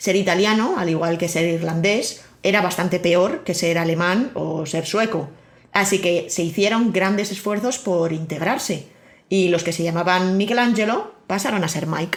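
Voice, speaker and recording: In a room with audible echo, a woman with a Castilian accent speaks at a moderate pace and medium pitch with ordinary pitch variation. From Spain. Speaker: podcast host. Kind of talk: scripted narration.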